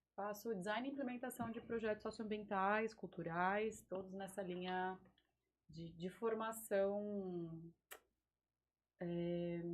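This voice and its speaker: A woman speaks very slowly at a medium pitch with fairly even intonation and long, frequent pauses. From Vale do Paraíba, São Paulo state, Brazil. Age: 30s. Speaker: biologist and environmental project manager. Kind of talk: casual interview chat.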